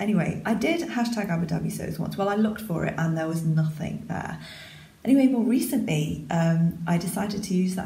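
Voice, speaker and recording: Over noticeable background noise, a woman talks quietly at a fairly quick pace, her pitch swinging very widely. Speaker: sewing vlogger. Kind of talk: casual talk to camera. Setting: echoey spare room.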